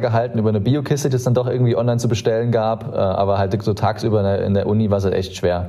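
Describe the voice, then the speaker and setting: Audible room echo and noticeable background noise surround a man speaking at a very fast pace. His pitch is medium and his loudness stays very even. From Germany, Saarland. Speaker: startup co-founder. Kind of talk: interview conversation. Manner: hesitant, many filler sounds.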